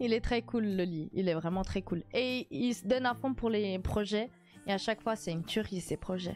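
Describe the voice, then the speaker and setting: A woman talks with lively intonation while faint music plays in the background. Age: 20s. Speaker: streamer. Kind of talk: casual chat. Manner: animated. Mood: warm, smiling. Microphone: studio mic.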